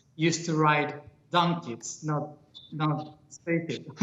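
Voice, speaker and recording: The speech moves at a very slow pace with monotone, flat intonation. Noticeable background noise runs underneath. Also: man. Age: young. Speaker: spiritual speaker. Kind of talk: interview. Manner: halting.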